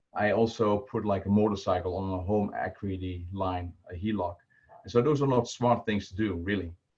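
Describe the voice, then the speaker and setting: Fairly low in pitch, a man speaks with a Dutch accent. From Netherlands. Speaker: volunteer personal finance presenter. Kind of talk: online presentation. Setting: video call. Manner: halting, many filler words. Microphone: poor stream quality.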